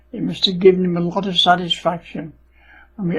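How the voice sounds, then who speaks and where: This man, with an English accent, talks at a fairly quick pace with a high pitch and monotone, flat intonation. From England. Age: 80s+. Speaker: World War Two veteran. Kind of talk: personal life story narration.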